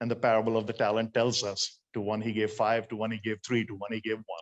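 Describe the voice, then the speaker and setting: A man at medium pitch with an Indian accent and a very fast pace. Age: 60s. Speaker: motivational speaker. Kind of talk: sermon.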